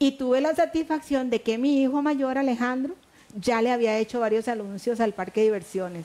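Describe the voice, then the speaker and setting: In a Costa Rican accent, a woman speaks fairly quickly at a high pitch, her tone dark and mellow, her loudness very even, and her pitch varying in an ordinary way. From Costa Rica, Puntarenas. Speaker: retired schoolteacher. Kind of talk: interview. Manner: distinctive conversational rhythm. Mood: warm, nostalgic storytelling. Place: studio. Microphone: headset.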